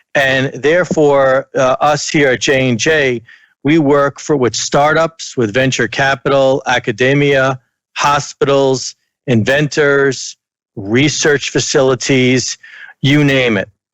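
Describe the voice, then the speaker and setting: A man's very slow, fairly high voice with an American accent, fairly even intonation and very even loudness, dry and close with no echo. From United States. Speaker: corporate technology executive. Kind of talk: conference talk. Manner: hesitant, with frequent fillers.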